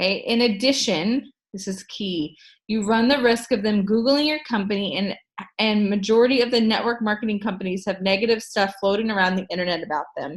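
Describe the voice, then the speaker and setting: A woman talks at a fairly quick pace with an American accent, her voice fairly high and somewhat breathy. Her pitch varies in an ordinary way. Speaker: network marketing team leader. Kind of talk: group training talk. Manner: casual, halting with fillers.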